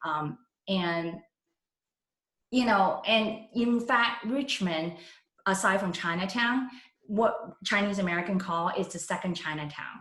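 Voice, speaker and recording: A woman's medium-pitched voice with ordinary pitch variation, a fairly slow pace and long, frequent pauses, in audible room echo. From Hong Kong, moved to San Francisco at 13. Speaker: political candidate. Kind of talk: endorsement interview. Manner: halting.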